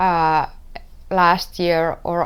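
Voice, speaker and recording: A woman with a Finnish accent is heard on a very clean recording with a silent background. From Finland. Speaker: knitwear designer and podcast host. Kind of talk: casual podcast talk. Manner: halting, searching for words; slow at times. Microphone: wearing a better-quality microphone.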